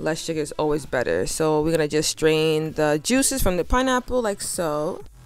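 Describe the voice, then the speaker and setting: A woman with a very deep, low pitch speaks in a relaxed tone with very wide pitch swings, at a moderate pace with hardly any pauses. Music plays behind her. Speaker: home cook, cooking channel host. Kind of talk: casual cooking tutorial. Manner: casual, relaxed.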